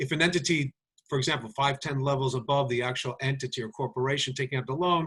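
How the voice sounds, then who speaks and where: Bright and sharp in tone, a man's medium-pitched voice moves through an ordinary range of pitch. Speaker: lawyer. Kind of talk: webinar lecture with Q&A. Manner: fast; halting.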